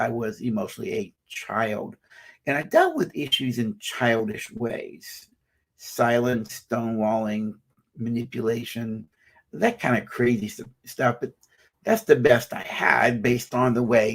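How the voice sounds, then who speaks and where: A man talks fairly slowly at a medium pitch, his pitch varying in an ordinary way. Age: 60s. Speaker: psychologist and minister. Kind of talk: live-streamed talk. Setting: live stream. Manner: halting.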